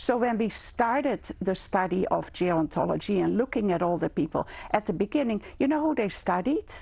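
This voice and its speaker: A woman with a Dutch accent and a dark, mellow tone talks at a fairly quick pace with very wide pitch swings, vocal fry, and very even loudness. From Netherlands. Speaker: gerontology lecturer. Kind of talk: interview. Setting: studio. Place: studio. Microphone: lapel.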